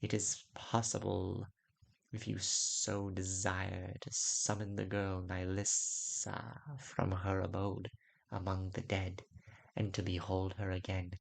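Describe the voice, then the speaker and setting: A man uses a put-on character voice, very deep and low, with hissing. He speaks at a fairly slow pace. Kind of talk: weird fantasy audiobook. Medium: read story. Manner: slow, measured, sibilant.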